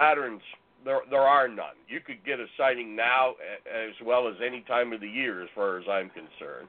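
A man with a normal speaking voice talks at medium pitch. His pace is moderate. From northern Ontario, Canada. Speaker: Bigfoot researcher and author. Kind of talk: interview.

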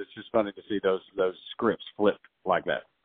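A man speaks at a fairly low pitch. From Northwest Georgia, US South (Dalton). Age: 40s. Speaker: radio morning show host and Navy veteran. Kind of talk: casual sports chat.

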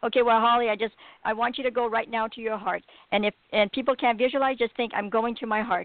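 A woman speaks at a very fast pace with a fairly high pitch. Her intonation is monotone and flat. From Alberta, Canada. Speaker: radio host. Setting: phone call.

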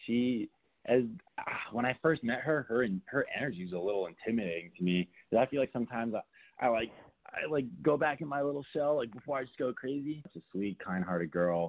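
A man talks at a fairly quick pace with lively intonation. He has an ordinary speaking voice at medium pitch. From Southern California (Burbank). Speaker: reality TV contestant. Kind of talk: casual interview chat.

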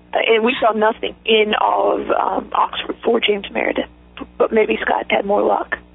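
A woman with an American accent talks at a moderate pace amid noticeable background noise. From southern West Virginia. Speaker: civil rights attorney. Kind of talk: interview.

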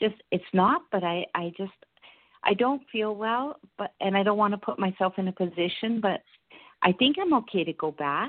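A woman speaks at a medium pitch and a moderate pace, with lively intonation. She has a plain, everyday voice. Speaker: caller. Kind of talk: casual chat. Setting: phone call.

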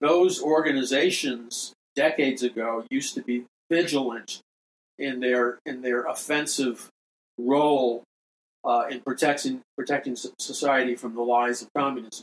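At a moderate pace, this speaker's intonation stays fairly even, with an American accent. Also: man, medium pitch for a man. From New York City. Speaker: prophecy radio host and minister. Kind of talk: preachy monologue on current events and prophecy; angry rant, fiery sermon-like denunciation of communism and humanism. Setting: radio studio broadcast. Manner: forceful, emphatic, pounding and direct, addressing listeners; urgent, indignant, repetitive.

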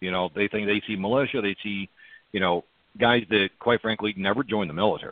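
Fairly quick, fairly even intonation from a man with a fairly low pitch and an ordinary speaking voice. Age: 30s. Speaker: militia group leader. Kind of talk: interview, conversational.

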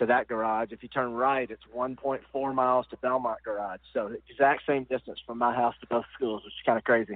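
This man has a Tennessee accent and a flat, monotone delivery at a fairly quick clip. His loudness swings widely, and he hardly pauses at all. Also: medium pitch for a man. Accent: US Southern (Tennessee). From Nashville, Tennessee. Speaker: college basketball coach. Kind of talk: interview.

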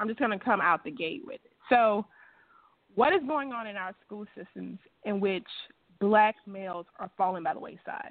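Speaking with a Mississippi accent at a moderate pace, a woman of medium pitch uses lively intonation and big swings in loudness. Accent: Southern US (Mississippi). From US South, Natchez, Mississippi. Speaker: radio host. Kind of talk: radio interview.

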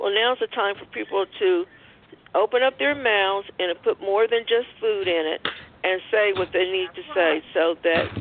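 Using an ordinary speaking voice, a woman talks at a fairly slow pace in a medium pitch with ordinary pitch variation. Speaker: caller. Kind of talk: testimony, religious.

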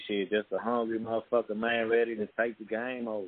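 This is a man talking with an American accent. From Texas, Dickinson (Galveston County, near Houston). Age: young. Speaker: rapper. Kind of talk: casual interview. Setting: recording studio.

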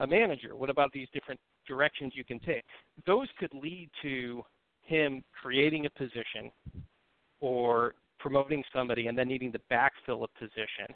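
A man with a Buffalo accent talks at a moderate pace, his pitch rising and falling in an ordinary way. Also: medium pitch for a man. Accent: Western New York (Buffalo) American. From US, Buffalo, New York. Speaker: sales recruiter. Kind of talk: casual chat.

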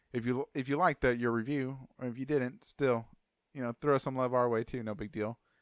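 A man with a plain, everyday voice and an American accent speaks at a fairly quick pace and medium pitch with fairly even intonation, the sound dry and close with no echo against a quiet background. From Texas. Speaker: podcast host. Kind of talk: casual chat.

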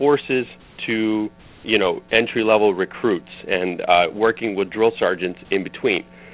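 Using a plain, everyday voice, a man talks at medium pitch and moderate pace with ordinary pitch variation. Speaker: running coach. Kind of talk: interview. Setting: phone call.

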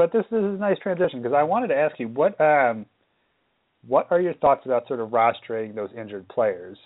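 Pitch swinging very widely in a fairly high male voice. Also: fairly quick pace. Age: 20s. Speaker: fantasy baseball podcast host. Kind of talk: casual chat.

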